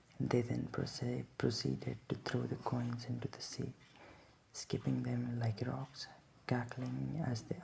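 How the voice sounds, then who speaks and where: A man speaks in a soft-spoken way. His pace is fairly slow. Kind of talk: sleep book reading.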